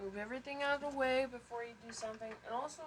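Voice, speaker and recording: A woman talks quietly with ordinary pitch variation. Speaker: home video maker. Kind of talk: cooking tutorial. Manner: hesitant, many fillers; too quiet.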